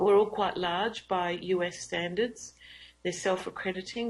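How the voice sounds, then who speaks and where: Fairly even intonation from a woman with an Australian accent. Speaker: university academic, teaching and learning leader. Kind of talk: lecture.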